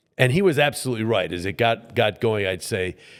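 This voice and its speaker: A man speaks at a fairly quick pace in an unremarkable speaking voice, medium in pitch, on a very clean recording with a silent background. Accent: American. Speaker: play-by-play sports broadcaster, voiceover mentor. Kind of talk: interview answer, conversational storytelling.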